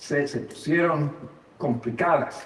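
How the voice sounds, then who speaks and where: There is noticeable background noise and audible room echo as a man speaks with an American accent. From United States. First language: English (speaking Spanish). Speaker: pastor and seminary professor. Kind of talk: sermon. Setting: church service. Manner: halting, frequent fillers and repetitions.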